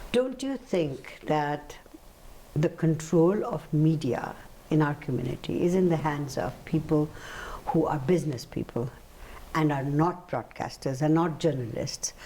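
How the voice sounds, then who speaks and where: A woman with a very deep, low pitch and lively intonation speaks at a fairly slow pace over noticeable background noise. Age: 70s. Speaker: talk show host. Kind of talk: interview. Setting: studio.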